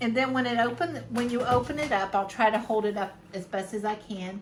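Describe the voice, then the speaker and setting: This woman has an ordinary speaking voice. Her pitch is fairly high. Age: 50s. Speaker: fashion and subscription video creator. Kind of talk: casual talk to camera.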